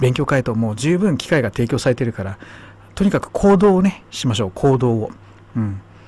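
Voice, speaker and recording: A man's dark, mellow, somewhat breathy voice at a medium pitch, fairly quick, with very wide pitch swings. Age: 50s. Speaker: radio host. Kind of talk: casual chat.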